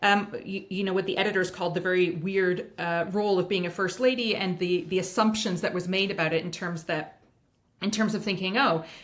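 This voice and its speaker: A woman with a Canadian accent uses a normal speaking voice at medium pitch with fairly even intonation. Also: fairly quick pace. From Canada. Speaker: writer, former first lady. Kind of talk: interview answer.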